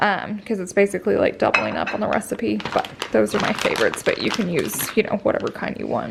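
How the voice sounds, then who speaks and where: A woman talks at a very fast pace with hardly any pauses. Noticeable background noise is present. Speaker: vlogger, stay-at-home mom. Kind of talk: casual vlog chat.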